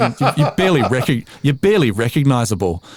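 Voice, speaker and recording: A man with an Australian accent speaking at a very fast pace amid noticeable background noise. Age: 40s. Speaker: voice-over artist and former DJ. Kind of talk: podcast interview. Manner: halting, many repeated words.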